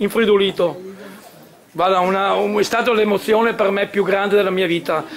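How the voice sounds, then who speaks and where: A man's high-pitched voice with fairly even intonation, over light background noise. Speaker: cycling fan; guest. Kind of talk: anecdote. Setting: stage with audience. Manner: halting. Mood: emotional, heartfelt recollection. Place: hall. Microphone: camera far.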